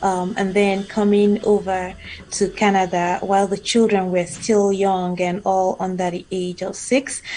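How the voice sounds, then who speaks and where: Against noticeable background noise, a woman at a medium pitch speaks at a fairly slow pace with monotone, flat intonation. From Nigeria. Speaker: immigrant professional. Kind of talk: interview. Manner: halting, many fillers.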